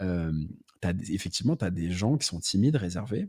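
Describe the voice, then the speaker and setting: Very deep and low, this man's somewhat breathy voice has a dark, mellow tone and lively intonation. The recording is very clean with a silent background. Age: 30s. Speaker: entrepreneur and content creator. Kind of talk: casual podcast interview.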